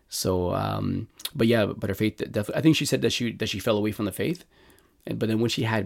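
A man's fairly low voice with a Montreal accent, very fast pace and vocal fry. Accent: Canadian English (Montreal). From Montreal, Canada. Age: 40s. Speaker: lay evangelist. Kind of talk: personal testimony interview. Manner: halting, many fillers and restarts.

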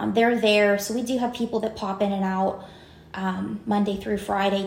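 Flat, monotone delivery with a western Pennsylvania accent, plus audible room echo. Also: woman. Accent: western Pennsylvania American. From Greensburg, western Pennsylvania. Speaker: winery owner. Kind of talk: casual interview.

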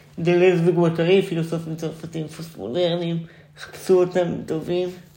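A man speaks at a high pitch with monotone, flat intonation and a fairly slow pace. Audible room echo surrounds his voice. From Israel, central (Ness Ziona). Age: 20s. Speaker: theatre student and performance artist. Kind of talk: casual chat.

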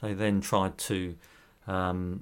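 A man with a British accent speaks in a very deep, low voice and fairly even intonation, on a very clean recording with a silent background. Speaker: podcast co-host, wildlife volunteer. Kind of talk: casual chat.

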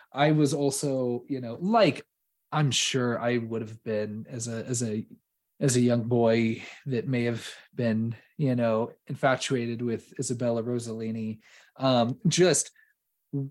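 An ordinary speaking voice at a fairly slow pace, with fairly even intonation. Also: man, medium pitch for a man. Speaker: podcast host. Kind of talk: casual chat. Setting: remote recording.

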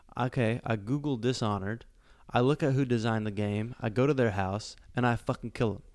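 On a very clean recording with a silent background, a man with an ordinary speaking voice talks at a fairly quick pace with fairly even intonation. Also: medium pitch for a man. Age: 30s. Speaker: podcast co-host. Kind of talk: casual chat.

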